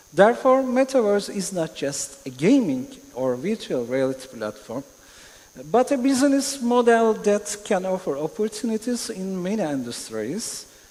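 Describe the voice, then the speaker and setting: A man with a Turkish accent, high-pitched with very wide pitch swings, at a moderate pace over noticeable background noise. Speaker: panelist on metaverse, music metaverse project. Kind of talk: conference panel discussion. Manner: halting, hesitant.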